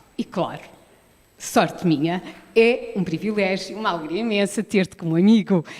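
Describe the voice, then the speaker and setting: A woman's medium-pitched voice at a moderate pace, with ordinary pitch variation and long, frequent pauses. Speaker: poet, author of the book being launched. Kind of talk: book launch speech. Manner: formal.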